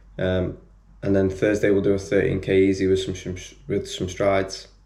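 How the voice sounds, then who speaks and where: A man speaks quietly in a very deep, low, somewhat breathy voice with a dark, mellow tone. His intonation is monotone and flat, with audible room echo. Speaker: running vlogger, amateur marathon runner. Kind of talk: casual vlog talk to camera. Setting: home, others asleep. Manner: quiet, keeping voice down; hesitant, many fillers.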